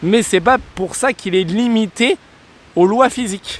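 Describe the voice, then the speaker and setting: There is noticeable background noise in this clip. Through it, a man talks. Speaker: DIY renovation vlogger. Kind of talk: casual vlog narration. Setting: outdoors on building site.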